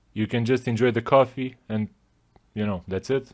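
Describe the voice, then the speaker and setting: The accent is non-native. Nothing can be heard in the silent background of this very clean recording. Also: man. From Romania. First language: not English. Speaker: podcast host. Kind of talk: casual monologue. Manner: casual, profane.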